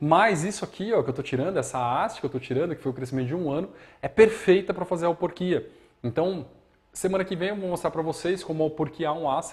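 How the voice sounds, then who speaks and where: On a very clean recording with a silent background, a man with a high pitch talks at a very fast pace. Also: ordinary pitch variation. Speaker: bonsai teacher. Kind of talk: live demonstration tutorial. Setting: live stream from studio.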